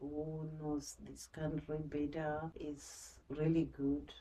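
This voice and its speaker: A soft-spoken woman talks at a very slow pace, her pitch very deep and low, with a dark, mellow tone. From Zimbabwe. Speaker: social worker. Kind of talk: interview. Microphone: quiet, may need more volume.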